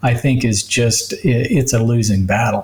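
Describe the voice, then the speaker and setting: A man with ordinary pitch variation against noticeable background noise. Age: 60s. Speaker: physician. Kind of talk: interview.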